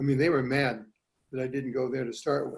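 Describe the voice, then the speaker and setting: A man's fairly high-pitched voice comes across somewhat breathy, with a dark, mellow tone. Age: 80s+. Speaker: product testimonial giver. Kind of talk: testimony.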